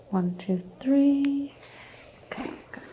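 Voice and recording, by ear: Speaking slowly, a woman uses a high pitch with ordinary pitch variation and a dark, mellow tone.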